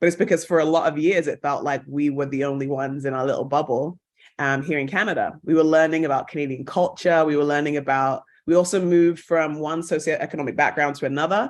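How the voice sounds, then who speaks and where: Very fast and with fairly even intonation, a woman talks in a very deep, low pitch with a British accent. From England. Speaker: actress and broadcaster. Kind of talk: podcast interview.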